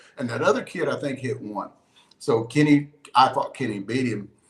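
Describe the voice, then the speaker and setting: The man sounds somewhat breathy and uses ordinary pitch variation. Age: 60s. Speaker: softball player and video guy. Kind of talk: casual chat. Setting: live stream. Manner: animated.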